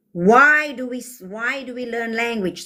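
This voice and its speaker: The woman's voice is somewhat breathy. Her pitch varies in an ordinary way. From South Africa. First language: Afrikaans. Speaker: livestreamer. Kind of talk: livestream chat answering comments. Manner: animated.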